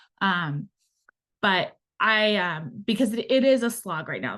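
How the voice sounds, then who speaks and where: A woman talks against a quiet background. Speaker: student debt specialist. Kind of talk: webinar Q&A. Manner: fast.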